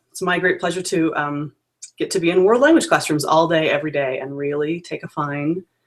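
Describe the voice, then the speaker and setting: This is a woman's voice. Her pitch is fairly low. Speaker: peer observer evaluating language teachers. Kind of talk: video call interview. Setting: video call. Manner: fast.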